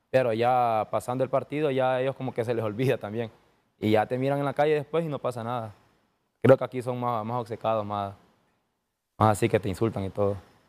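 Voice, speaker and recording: With fairly even intonation, the speaker moves at a fairly quick pace broken by long, frequent pauses. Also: man. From Honduras. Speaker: professional footballer (defender); guest. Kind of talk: interview. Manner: halting, with many repetitions. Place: studio. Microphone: lapel.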